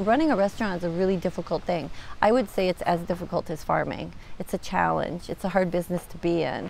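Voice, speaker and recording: A woman's fairly low voice at a very fast pace, ordinary pitch variation, dry sound with no echo, and light background noise. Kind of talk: interview answer. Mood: warm, smiling. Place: garden. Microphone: lapel.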